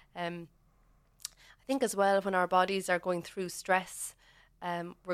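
Recorded very cleanly against a silent background, a woman with a Cork accent speaks at a moderate pace in a fairly low, monotone, flat voice. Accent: Cork Irish. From Ireland, Cork. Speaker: paediatric dentist and lecturer. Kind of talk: interview. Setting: radio studio. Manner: halting, many fillers.

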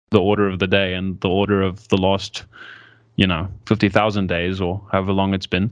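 Against a quiet background, a man with a fairly low pitch talks at a fairly quick pace. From South Africa (Pretoria), early childhood in US. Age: 20s. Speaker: podcast host. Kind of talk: casual interview conversation. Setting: video call.

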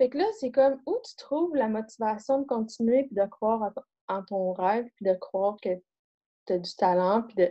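A woman with a Quebec accent talks at a fairly slow pace. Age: 50s. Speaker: author. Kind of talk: casual interview. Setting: video call.

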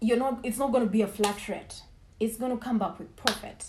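A woman with a somewhat breathy, fairly high voice talks at a fairly quick pace. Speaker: team leader and businesswoman. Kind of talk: interview. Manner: halting.

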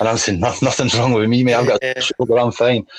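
The recording has a dry, close sound with no echo. In it, a man talks with a Scottish accent. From Glasgow, Scotland. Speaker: army veteran and salesperson. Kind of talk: casual interview. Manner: enunciating carefully, relaxed.

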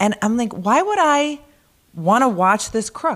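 A woman talks at a fairly slow pace with a fairly high pitch. Her tone is animated, and her intonation is lively. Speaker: co-host. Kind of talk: casual chat. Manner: animated, opinionated.

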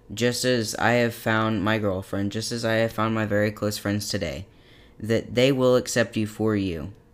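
A man with an unremarkable speaking voice talks at a moderate pace. His pitch is fairly low and his intonation fairly even. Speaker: podcast co-host.

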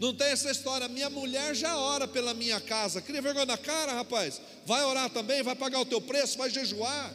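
Music plays behind a man whose raised, projected voice sits at an extremely high pitch. He keeps a moderate pace with hardly any pauses and very even loudness. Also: fairly even intonation. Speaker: pastor. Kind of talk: sermon. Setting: church.

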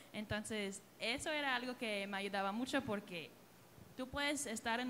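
A woman speaks fairly high with ordinary pitch variation, and audible room echo surrounds her. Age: 20s. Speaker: church singer. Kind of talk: church panel discussion.

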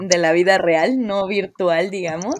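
Speaking at a medium pitch, a woman has a Mexican accent. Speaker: podcast host. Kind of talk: casual chat.

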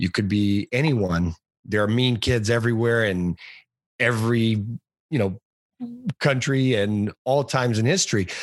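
Recorded very cleanly against a silent background, with a dry, close sound and no echo, a man at medium pitch speaks at a moderate pace with ordinary pitch variation, very even loudness and long, frequent pauses. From Brazil (São Paulo), moved to US at age 10. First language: Portuguese. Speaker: entrepreneur. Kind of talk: interview.

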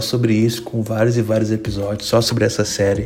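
Audible room echo carries a man's monotone, flat intonation. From Brazil. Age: 20s. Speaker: podcast host. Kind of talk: casual monologue.

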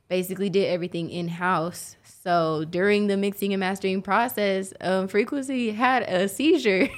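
At a moderate pace, a woman speaks in a plain, everyday voice, medium in pitch with ordinary pitch variation. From Oklahoma City, Oklahoma. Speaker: rapper. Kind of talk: casual interview.

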